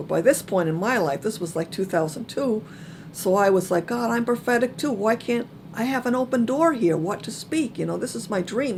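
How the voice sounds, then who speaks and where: This woman sounds somewhat breathy. Her intonation moves in a lively way. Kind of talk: personal testimony talk. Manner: soft-spoken; hesitant, many fillers.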